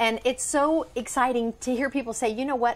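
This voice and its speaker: A woman's animated voice with ordinary pitch variation, in a very clean recording against a silent background. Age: 50s. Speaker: lifestyle consultant. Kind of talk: sales pitch.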